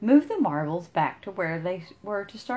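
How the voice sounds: Here the reading voice sounds natural.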